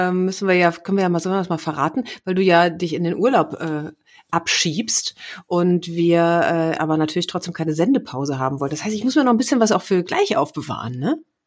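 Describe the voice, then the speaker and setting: On a very clean recording with a silent background, a woman with a medium pitch talks at a fairly quick pace with lively intonation. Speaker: podcast co-host, former radio presenter. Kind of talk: casual, chatty.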